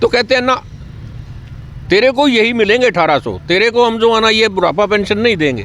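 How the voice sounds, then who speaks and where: Noticeable background noise sits behind a man's high voice. He speaks at a moderate pace with ordinary pitch variation. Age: 60s. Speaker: retired employees' union member. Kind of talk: street interview at protest.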